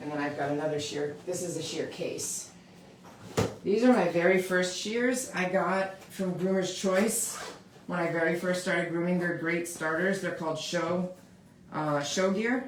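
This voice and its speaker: Amid noticeable background noise and audible room echo, a woman speaks fairly slowly at a fairly low pitch with ordinary pitch variation. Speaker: dog groomer. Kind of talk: live tutorial. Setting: live stream, grooming table. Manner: loud; casual, chatty.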